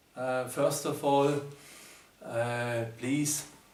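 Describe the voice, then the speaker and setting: A man's very slow, monotone speech with flat intonation and a German accent, amid audible room echo and noticeable background noise. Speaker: numerology teacher. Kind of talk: video presentation. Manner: halting, many fillers.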